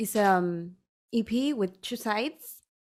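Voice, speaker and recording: In a Spanish accent, a woman speaks. Her pace is very slow. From Chile, small town. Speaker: electronic music producer and singer. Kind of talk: interview. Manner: halting, many repetitions.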